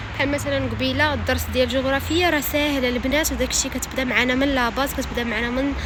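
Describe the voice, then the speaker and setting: A woman talks very fast with hardly any pauses, keeping her loudness very even. Noticeable background noise and audible room echo are present. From Morocco. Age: 20s. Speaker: vlogger. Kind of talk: casual vlog talk.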